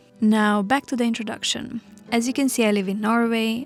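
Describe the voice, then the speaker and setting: Over noticeable background noise, a woman speaks in a fairly high voice. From Romania. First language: Romanian. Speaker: vlogger. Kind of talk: vlog narration.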